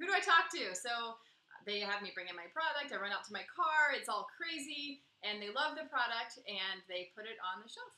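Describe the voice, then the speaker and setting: Her pitch fairly high, a woman speaks at a moderate pace with an animated, bright, sharp tone, very wide pitch swings and big swings in loudness. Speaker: baking company co-founder. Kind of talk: casual chat.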